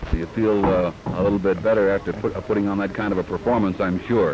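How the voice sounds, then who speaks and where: A man speaks very fast in a fairly low voice with flat, monotone intonation over noticeable background noise. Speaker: sports reporter. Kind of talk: interview questions.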